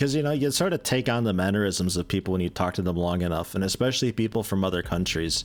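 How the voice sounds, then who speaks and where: A man's very deep, low voice with an American accent and lively intonation, music in the background. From US Midwest. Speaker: video game streamer. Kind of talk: gameplay commentary. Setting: live stream. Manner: casual, conversational.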